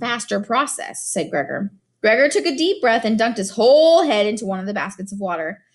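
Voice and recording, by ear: Against a quiet background, lively intonation marks someone reading aloud in a natural voice.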